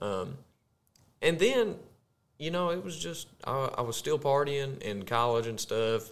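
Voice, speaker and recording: Lively intonation marks this man's speech in a Southern US accent. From US South, Arkansas. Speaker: podcast co-host, corporate employee. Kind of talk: casual chat, faith testimony.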